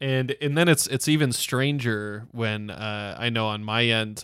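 At a moderate pace, a normal speaking voice carries fairly even intonation. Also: man. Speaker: podcast host. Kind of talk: casual podcast discussion. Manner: filler-heavy, chatty.

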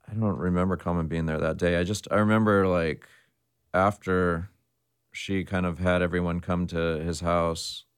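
A man with a Californian accent and a very deep, low pitch speaks in a monotone, flat way at a moderate pace on a very clean recording with a silent background. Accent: Californian American. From US West Coast, San Jose, California. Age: 40s. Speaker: hip-hop DJ and record label owner. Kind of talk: casual interview chat.

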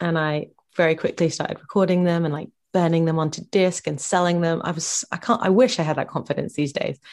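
Very fast speech in a southern English accent, with ordinary pitch variation over a quiet background. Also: woman, fairly low pitch for a woman. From England, Bedford, Bedfordshire. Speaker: singer-songwriter. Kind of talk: casual interview.

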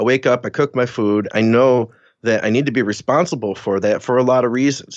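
The speech goes at a fairly quick pace with ordinary pitch variation. The background is quiet. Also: man. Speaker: fitness and nutrition coach. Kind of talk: casual interview chat. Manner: energetic, flowing.

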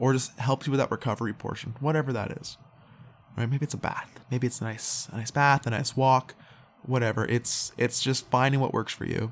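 This man talks at a fairly quick pace in a relaxed tone. His intonation is monotone and flat. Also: medium pitch for a man. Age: 20s. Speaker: podcast host. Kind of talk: casual solo monologue. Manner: relaxed, frequent fillers and laughs.

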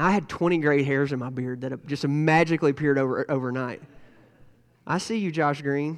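In an ordinary speaking voice, a man talks fairly quickly at a fairly high pitch with fairly even intonation. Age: 40s. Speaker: pastor. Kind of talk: sermon. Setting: church.

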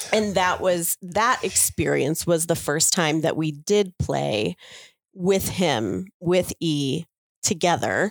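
In a very clean recording with a silent background and a dry, close sound with no echo, a woman with vocal fry and a fairly low pitch speaks very slowly at a very even loudness. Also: lively intonation. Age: 40s. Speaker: guest, cuckoldress. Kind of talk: interview. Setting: in person.

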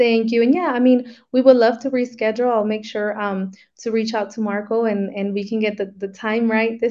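A woman with an American accent talks at a moderate pace in a fairly high pitch, with hardly any pauses. Her intonation stays monotone and flat against a quiet background. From Arizona. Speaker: business developer. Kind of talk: webinar talk.

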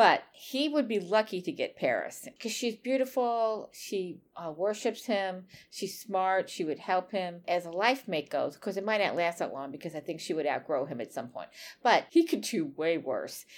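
A woman at medium pitch with very wide pitch swings, a moderate pace and hardly any pauses, on a very clean recording with a silent background. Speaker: podcast co-host, writer. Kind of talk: casual chat. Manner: loud when excited.

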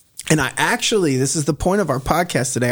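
This man has a plain, everyday voice with a fairly high pitch and ordinary pitch variation. The recording is very clean, with a silent background. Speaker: church planter. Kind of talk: casual chat.

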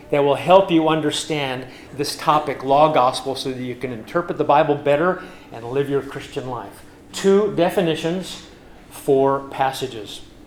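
With audible room echo and noticeable background noise, a man with an American accent speaks at a moderate pace, fairly high in pitch, with ordinary pitch variation. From US West, California and Nebraska. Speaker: pastor. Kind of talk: sermon. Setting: church.

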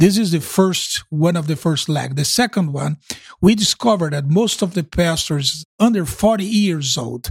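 In a Brazilian accent, a man talks at a high pitch, the sound dry and close with no echo. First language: Portuguese. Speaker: pastor and ministry coordinator. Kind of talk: interview conversation. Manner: halting.

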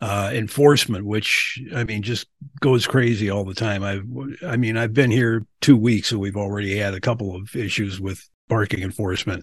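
Somewhat breathy and fairly low in pitch, a man with an American accent talks at a moderate pace with fairly even intonation. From Milwaukee, Wisconsin, US Midwest. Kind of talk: casual interview.

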